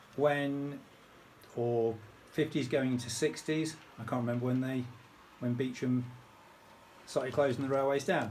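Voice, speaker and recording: A man with a British accent speaks at a medium pitch and moderate pace, his intonation fairly even. Long, frequent pauses break up his speech, and room echo is audible. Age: 60s. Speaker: model railway hobbyist. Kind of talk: casual video tutorial. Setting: home train room. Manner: hesitant, many ums.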